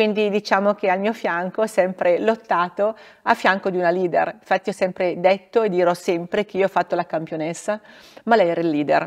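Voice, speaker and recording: A woman at a fairly quick pace with fairly even intonation, against a quiet background. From northern Italy, Bergamo area; northern Italy. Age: 50s. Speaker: former ski racer and regional politician; regional politician. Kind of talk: interview. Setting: theatre. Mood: calm, warm, reflective. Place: stage.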